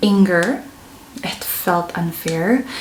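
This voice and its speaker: The room echo is audible, and so is the background noise. A woman is speaking. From Philippines. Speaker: vlogger and nurse. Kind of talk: casual vlog storytelling. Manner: conversational, mixes English and Tagalog.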